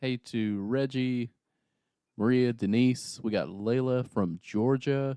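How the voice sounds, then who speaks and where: A man with a strong Southern US accent speaks at a medium pitch, his tone dark and mellow with ordinary pitch variation. The recording is very clean, with a silent background and a dry, close sound with no echo. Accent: thick Southern US. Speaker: livestream producer. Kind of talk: casual chat.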